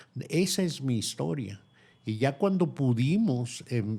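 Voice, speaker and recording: A man's dark, mellow voice with lively intonation on a very clean recording with a silent background. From Mexico. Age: 70s. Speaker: textile artisan. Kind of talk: interview.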